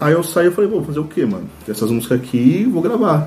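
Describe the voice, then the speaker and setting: A man's intonation is lively, and noticeable background noise sits behind him. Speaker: rock band singer. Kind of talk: casual chat.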